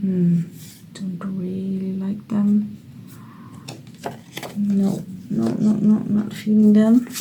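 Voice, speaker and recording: Speaking very slowly in a monotone, flat intonation, a woman with a medium pitch leaves long, frequent pauses amid audible room echo and noticeable background noise. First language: Dutch. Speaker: creative writing YouTuber. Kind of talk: casual tutorial. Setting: home studio. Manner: thinking aloud, hesitant.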